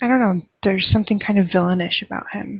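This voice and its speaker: A soft-spoken, somewhat breathy woman at a fairly quick pace. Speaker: livestream host. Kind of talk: casual chat.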